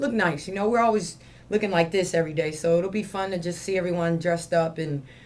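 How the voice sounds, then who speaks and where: In a room with audible echo, a woman talks at a fairly quick pace, her fairly low voice keeping a fairly even intonation. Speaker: gym owner and CrossFit coach. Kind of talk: video announcements to gym members. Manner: fast; casual, with fillers.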